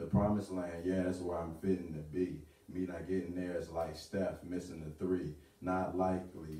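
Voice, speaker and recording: A man's very deep, low voice, dark and mellow in tone and somewhat breathy, confident in tone yet monotone and flat, at a moderate pace with audible room echo. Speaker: spoken word artist. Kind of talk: spoken word poetry performance at open mic. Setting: live open mic venue. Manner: rhythmic, confident delivery. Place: home room. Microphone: camera far.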